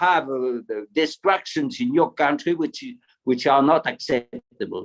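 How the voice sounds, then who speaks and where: A man speaks with a French accent. His pitch sits fairly high. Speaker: retired military officer, panelist. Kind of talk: panel discussion. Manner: halting, many repetitions; enthusiastic. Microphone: poor signal.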